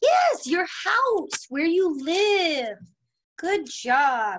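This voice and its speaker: A woman's voice swings very widely in pitch over light background noise. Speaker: preschool teacher. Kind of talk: remote lesson for young children. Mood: warm, encouraging. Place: classroom. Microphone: webcam.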